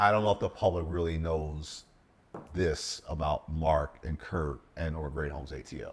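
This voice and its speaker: This man's pitch is very deep and low, and his intonation stays fairly even. He sounds somewhat breathy and speaks at a fairly slow pace. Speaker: podcast co-host. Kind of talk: casual interview. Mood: earnest, supportive. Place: home room. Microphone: lapel.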